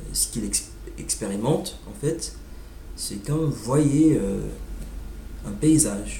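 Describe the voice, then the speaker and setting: Speaking at a very slow pace with long, frequent pauses, a man with an English accent is heard over noticeable background noise and audible room echo. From United States. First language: English (speaking French). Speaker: language learner vlogger. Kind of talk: informal monologue on language. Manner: halting, many hesitations.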